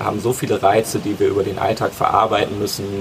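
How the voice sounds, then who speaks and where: A man with a fairly low pitch talks amid noticeable background noise. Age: 20s. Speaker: osteopath. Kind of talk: casual interview. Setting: outdoors in a garden.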